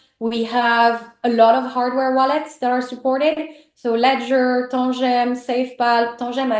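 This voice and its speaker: A woman speaks with a French accent at a moderate pace. Her pitch is high. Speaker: team member of a crypto project. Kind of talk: conversational business talk. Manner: hesitant, many fillers and restarts.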